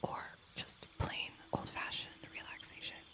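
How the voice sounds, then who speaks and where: A woman whispering at a fairly slow pace over noticeable background noise. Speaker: ASMR creator. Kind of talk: whispered ASMR gameplay commentary. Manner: whispered, soft.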